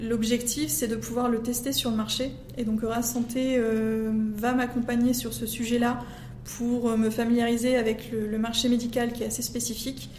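A woman speaks in a flat monotone at a fairly high pitch, with noticeable background noise and audible room echo. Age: 30s. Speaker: entrepreneur. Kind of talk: interview. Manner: halting.

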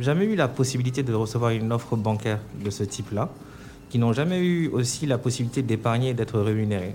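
With a normal speaking voice at medium pitch, a man talks at a fairly quick pace with ordinary pitch variation. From Senegal. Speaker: bank marketing director. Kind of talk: radio interview. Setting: remote line (duplex) to radio studio.

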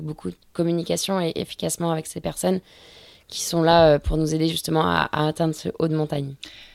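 Very deep and low for a woman, her voice moves at a fairly quick pace in a monotone, flat delivery on a very clean recording with a silent background. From France, Brittany (Finistère Nord). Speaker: offshore sailor. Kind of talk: interview. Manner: hesitant, many repetitions.

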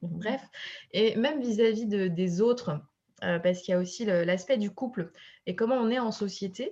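An ordinary speaking voice with ordinary pitch variation against a quiet background. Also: woman. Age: 30s. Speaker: fertility coach. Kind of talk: casual chat.

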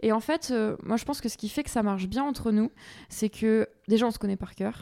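A woman with a fairly high pitch and a dark, mellow tone talks at a fairly quick pace, in a dry, close sound with no echo. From Provence, Aix-en-Provence area. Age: 20s. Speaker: agtech startup co-founder, former journalist. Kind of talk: interview. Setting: on location at company offices.

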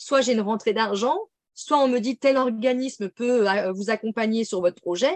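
A woman talks at a fairly quick pace in a plain, everyday voice, fairly high in pitch with lively intonation. The sound is dry and close, with no echo. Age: 30s. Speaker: medium and intuitive coach. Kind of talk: casual interview.

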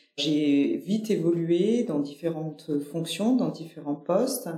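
The delivery comes at a fairly slow pace. Audible room echo surrounds the voice. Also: woman. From Nîmes, southern France. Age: 40s. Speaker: company director. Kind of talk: interview conversation. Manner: hesitant, many fillers and repetitions.

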